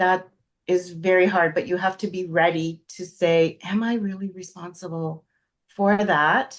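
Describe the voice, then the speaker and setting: With a plain, everyday voice, a woman speaks at a fairly slow pace and medium pitch, her intonation fairly even. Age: 60s. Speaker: astrologer panelist. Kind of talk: personal testimony on panel.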